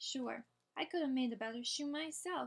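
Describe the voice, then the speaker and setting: A woman puts on a gruff character voice at a high pitch. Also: moderate pace. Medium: read story. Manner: gruff, short-tempered.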